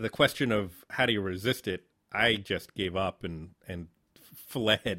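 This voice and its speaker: Speaking at a fairly slow pace with an American accent, a man uses a fairly low pitch, ordinary pitch variation and a bright, sharp tone in a dry, close sound with no echo. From Southern Connecticut, New Haven. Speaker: podcast host, filmmaker. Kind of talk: casual interview.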